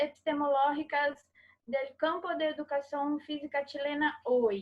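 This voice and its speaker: A woman speaks with a Portuguese accent. Her pitch is high. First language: Portuguese (speaking Spanish). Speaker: interviewer. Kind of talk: academic interview. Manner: halting.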